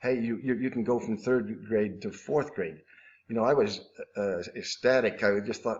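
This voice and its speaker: Fairly even intonation runs through speech delivered at a fairly quick pace. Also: man. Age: 60s. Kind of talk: interview answer. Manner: hesitant, halting.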